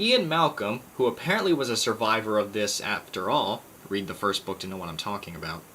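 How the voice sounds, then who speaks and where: A man's fairly low pitch and lively intonation at a fairly quick pace, with big loudness swings over noticeable background noise. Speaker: YouTuber, book reviewer. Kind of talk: book review monologue. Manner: stuttering; casual.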